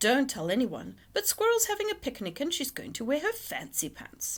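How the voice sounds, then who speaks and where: A woman puts on a character voice with a high pitch and very wide pitch swings, delivered at a moderate pace. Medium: read story. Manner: distracted, hooting.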